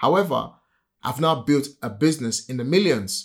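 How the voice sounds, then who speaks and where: With a Nigerian accent, a man speaks at a fairly quick pace and a fairly high pitch with lively intonation, on a very clean recording with a silent background. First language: a Nigerian language. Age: 40s. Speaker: property entrepreneur and podcast host. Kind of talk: casual chat.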